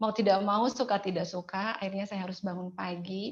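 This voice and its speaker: A woman with a West Javanese accent speaks at a fairly quick pace in a somewhat breathy, medium-pitched voice with monotone, flat intonation against a quiet background. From Indonesia, West Java (Cigugur, Kuningan, Sundanese). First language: Sundanese (speaking Indonesian). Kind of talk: testimony.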